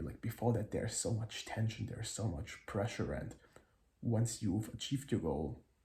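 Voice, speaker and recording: Somewhat breathy and dark, mellow in tone, a man speaks at a fairly low pitch and moderate pace. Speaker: YouTuber, vlogger. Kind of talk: casual monologue vlog. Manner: hesitant, many fillers and repeats.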